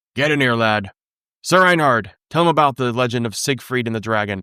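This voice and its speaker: At a fairly quick pace, a man performs a put-on character voice on a very clean recording with a silent background. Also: medium pitch for a man. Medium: read story.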